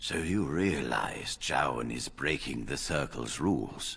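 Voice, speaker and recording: A man speaks fairly slowly in a put-on character voice with a very deep, low pitch. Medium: video game. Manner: authoritative, measured.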